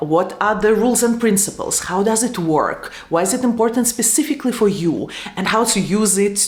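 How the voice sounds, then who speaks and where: At a moderate pace, a woman with a Russian accent speaks at medium pitch, with audible room echo and noticeable background noise. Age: 30s. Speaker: YouTuber and tech manager. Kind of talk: lecture.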